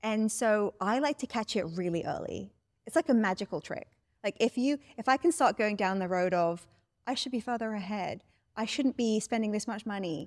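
On a very clean recording with a silent background and a dry, close sound with no echo, a woman with a British accent speaks at a moderate pace, fairly high in pitch, with lively intonation. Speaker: life coach. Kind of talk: interview. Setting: studio.

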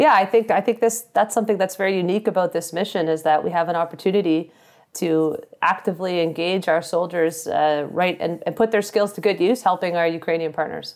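A plain, everyday voice with a Canadian accent moves at a fairly quick pace with ordinary pitch variation. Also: woman, fairly low pitch for a woman. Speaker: army officer. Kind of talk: interview. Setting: remote call from deployment.

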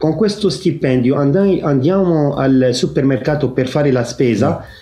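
Music plays in the background as a man with a fairly high pitch and ordinary pitch variation speaks at a fairly slow pace, with audible room echo. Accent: Arabic. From Lebanon. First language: Arabic (speaking Italian). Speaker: Maronite priest and monk. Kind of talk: interview. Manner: halting.

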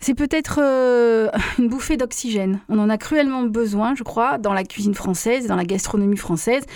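Here a woman with a normal speaking voice talks at a moderate pace, her fairly high pitch showing ordinary variation. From Marseille, France. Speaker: documentary maker and food author. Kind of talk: radio interview.

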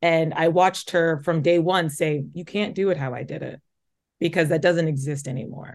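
A woman with a Midwestern US accent and a fairly low pitch, her loudness swinging widely, over a quiet background. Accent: US Midwest. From Omaha, Nebraska. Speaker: journalist and host. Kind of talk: interview. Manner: fast talker; occasional stutter.

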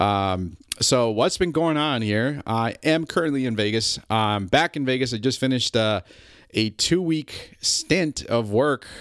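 A man with an ordinary speaking voice, medium pitch, lively intonation and a fairly slow pace. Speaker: pilot podcaster. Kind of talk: solo podcast monologue. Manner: casual, conversational with fillers.

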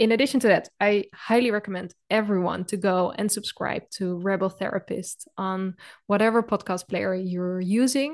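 Over a quiet background, a woman with an ordinary speaking voice keeps a moderate pace, fairly even intonation and hardly any pauses. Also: medium pitch for a woman. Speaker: podcast account lead interviewer. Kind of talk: interview conversation.

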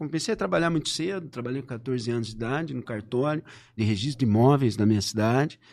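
The background stays quiet. A man races along at a very fast pace, his pitch swinging very widely. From Brazil, São Paulo state (Limeira). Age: 50s. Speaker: political scientist. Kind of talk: interview.

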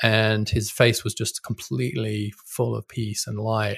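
A somewhat breathy man with a British accent against a quiet background. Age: 50s. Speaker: policy scholar and author. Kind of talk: interview.

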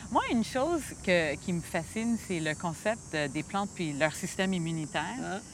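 Noticeable background noise sits behind a woman whose fairly low voice carries lively intonation. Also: fairly slow pace. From Quebec, Montreal. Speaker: physician and microbiome researcher. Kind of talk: casual scientific conversation. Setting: outdoors in a botanical garden.

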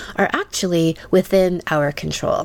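Noticeable background noise runs under this clip. A woman speaks at a fairly slow pace with a fairly low pitch. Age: 50s. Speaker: sex and relationship coach. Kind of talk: scripted narration.

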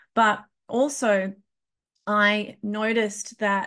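A woman with an Australian accent. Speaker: podcast host and kinesiologist. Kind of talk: interview. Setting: remote call.

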